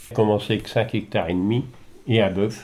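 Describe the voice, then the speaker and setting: A man talks in a fairly low pitch with a dark, mellow tone. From Nord, northern France. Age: 70s. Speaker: farmer. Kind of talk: interview testimony.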